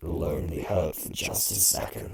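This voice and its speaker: This is a man. He performs in a put-on character voice. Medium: solo performance. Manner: calm, luring.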